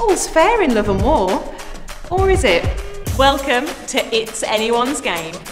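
With clear music in the background, a woman talks using very wide pitch swings. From Birmingham, England. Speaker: TV presenter. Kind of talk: TV show intro voiceover. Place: studio.

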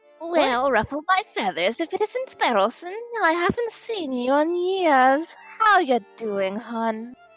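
A high-pitched woman at a fairly slow pace, her pitch swinging very widely, with faint music in the background. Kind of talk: voice acting of game dialogue. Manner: warm, folksy, calls people hon.

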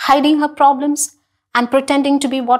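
A woman speaks in a high voice with ordinary pitch variation against a quiet background. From India, Kerala. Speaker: school English teacher. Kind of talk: televised classroom lesson. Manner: slow, clear teaching style with frequent questions to students. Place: studio. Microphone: lapel.

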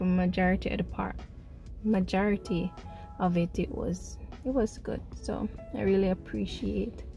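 Over faint music in the background, a woman speaks at a fairly slow pace, the sound dry with no echo. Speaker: vlogger. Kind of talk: casual vlog chat. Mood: cheerful, a bit reflective. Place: car. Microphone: phone near.

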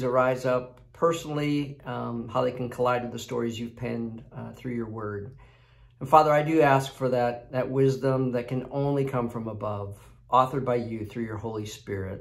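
A man talks at a moderate pace over a quiet background, keeping his intonation fairly even. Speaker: devotional video host. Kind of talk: devotional reading and prayer. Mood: calm, reverent. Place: home room. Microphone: phone near.

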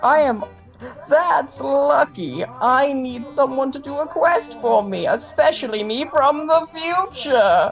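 A female-sounding put-on character voice talks at a fairly slow pace. Clear music plays in the background. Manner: acted priest voice.

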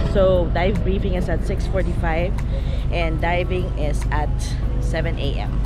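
Clear music plays in the background while a woman speaks at a fairly slow pace in a dry sound with no echo. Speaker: vlogger. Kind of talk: casual vlog chat. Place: boat. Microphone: phone near.

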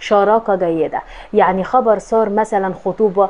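The woman talks at a moderate pace. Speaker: horoscope channel host. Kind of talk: casual astrology talk to camera. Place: home room. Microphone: lapel.

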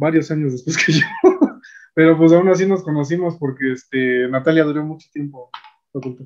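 An unremarkable speaking voice talks at a moderate pace with fairly even intonation but big swings in loudness. The background is quiet. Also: man. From Mexico. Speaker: YouTube host, physicist; YouTube host. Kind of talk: interview. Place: home room. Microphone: video call.

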